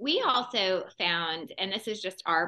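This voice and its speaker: Using lively intonation, a woman speaks at a medium pitch in a bright, sharp tone. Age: 40s. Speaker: podcast co-host. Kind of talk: podcast interview.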